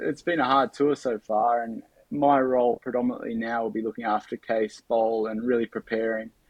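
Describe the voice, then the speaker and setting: Speaking in an Australian accent, a man talks at a fairly quick pace with hardly any pauses. His pitch is medium and his intonation fairly even. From Australia, Bathurst NSW. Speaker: cycling sprint advisor and former pro cyclist. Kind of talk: casual interview.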